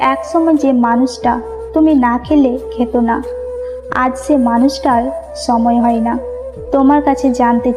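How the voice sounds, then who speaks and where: A woman's high voice with ordinary pitch variation over music in the background. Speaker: motivational speaker. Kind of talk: emotional motivational speech.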